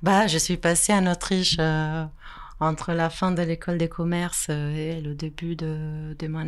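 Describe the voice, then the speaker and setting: Her pitch fairly low, a woman with an Italian accent speaks at a fairly slow pace in a monotone, flat intonation. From Italy. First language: Italian (speaking French). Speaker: photographer. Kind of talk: interview.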